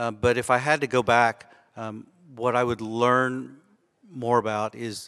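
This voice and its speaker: A man at a medium pitch with an American accent, fairly slow in pace, in a dry, close sound with no echo. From Austin, Texas. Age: 50s. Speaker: ophthalmologist. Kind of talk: live interview. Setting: stage with audience.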